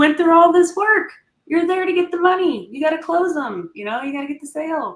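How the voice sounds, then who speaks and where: A woman is speaking. Her tone is animated. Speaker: logistics sales professional. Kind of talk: interview conversation. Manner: loud.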